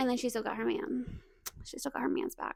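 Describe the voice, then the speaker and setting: In an American accent, a woman speaks with a high pitch and an animated tone. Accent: slight southern, more so when relaxed. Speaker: booktuber. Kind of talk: casual vlog chat.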